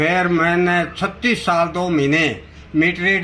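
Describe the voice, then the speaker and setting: This man speaks at a high pitch. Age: 70s. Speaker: retired clerk and election candidate. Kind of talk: news interview. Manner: halting.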